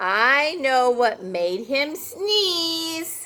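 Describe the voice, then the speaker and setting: A woman uses a put-on character voice at a high pitch. Her pitch swings very widely. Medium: read story. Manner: self-assured, firm.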